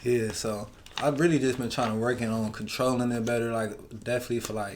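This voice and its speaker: In a room with audible echo, a man talks at medium pitch and a fairly quick pace with fairly even intonation. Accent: American. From Cleveland, Ohio, US. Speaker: rapper. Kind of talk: casual chat.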